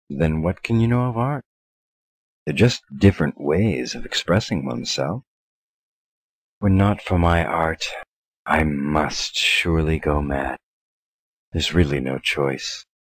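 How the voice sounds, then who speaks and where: Using a put-on character voice, a man speaks at a very deep, low pitch and a fairly slow pace, with long, frequent pauses. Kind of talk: gothic horror drama. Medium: machinima. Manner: aloof, haughty, coolly menacing.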